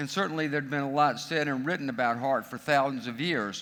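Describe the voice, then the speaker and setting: Animated and bright with a sharp tone, a man with an American accent talks at a fairly quick pace and a fairly high pitch. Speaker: conference speaker, spokesperson for a heart research institute. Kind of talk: keynote presentation. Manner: animated, humorous storytelling.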